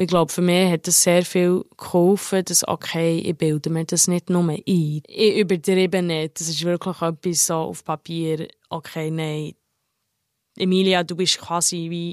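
On a very clean recording with a silent background, a woman speaks slowly in a fairly low, monotone, flat voice, with a dry, close sound and no echo. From abroad. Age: 20s. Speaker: hotel employee. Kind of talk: interview. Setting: outdoors. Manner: halting.

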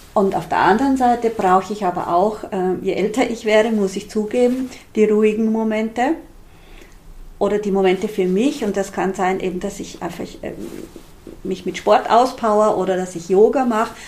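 At a moderate pace, the speaker talks with an Austrian accent and ordinary pitch variation. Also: woman, fairly high pitch for a woman. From Austria, rural Styria. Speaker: social entrepreneur. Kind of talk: interview.

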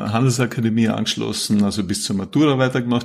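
A man uses a normal speaking voice, his pitch medium and his intonation fairly even. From Austria, Vorarlberg. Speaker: climate policy professor. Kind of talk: interview.

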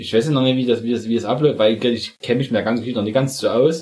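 This man has an ordinary speaking voice. His pitch is medium, and his intonation is fairly even. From Saxony, eastern Germany. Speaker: podcast co-host. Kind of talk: casual chat.

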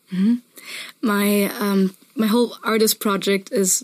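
A woman with a German accent, her intonation monotone and flat. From Germany, Munich area. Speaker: musician. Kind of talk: interview.

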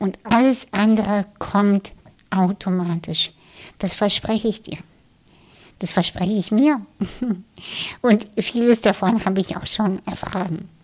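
The voice is somewhat breathy, with fairly even intonation. It moves at a very slow pace with long, frequent pauses. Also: woman, medium pitch for a woman. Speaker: podcast host and meditation guide. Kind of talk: guided meditation. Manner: slow, soft, calm and soothing with long pauses; gentle, inviting, addressing listener intimately.

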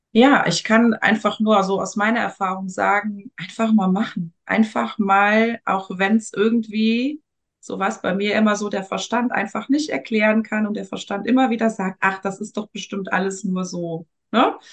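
At a moderate pace, a woman speaks in a somewhat breathy, medium-pitched voice with fairly even intonation. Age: 40s. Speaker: energy work practitioner. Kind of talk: casual interview. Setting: podcast interview.

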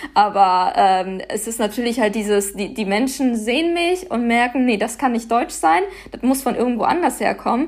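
A woman with a normal speaking voice talks at a moderate pace and a fairly high pitch, her intonation lively. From Germany, Paderborn. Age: 20s. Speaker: activist. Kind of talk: interview.

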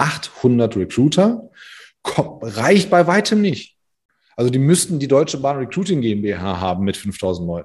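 Against a quiet background, a man talks at a moderate pace and medium pitch with very wide pitch swings. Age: 40s. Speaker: recruiting consultant. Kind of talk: casual interview.

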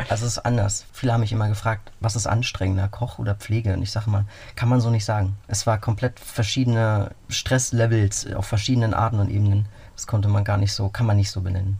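A man's dark, mellow voice at a fairly low pitch, somewhat breathy, very fast and monotone with flat intonation. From Berlin. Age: 30s. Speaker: cyclist adventurer, nurse and cook. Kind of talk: radio interview.

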